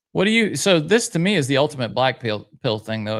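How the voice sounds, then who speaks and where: Speaking very fast with a slight Southern US accent, a man is heard on a very clean recording with a silent background. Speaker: podcast co-host reading live chat. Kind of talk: casual chat.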